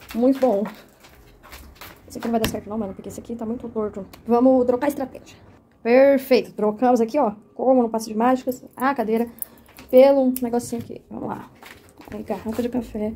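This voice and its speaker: Quiet and dark, mellow in tone, the voice moves at a fairly quick pace with big swings in loudness and long, frequent pauses. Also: woman, high pitch for a woman. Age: young. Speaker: cultural monitor and storyteller. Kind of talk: casual behind-the-scenes vlog. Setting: at home. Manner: speaking quietly; animated.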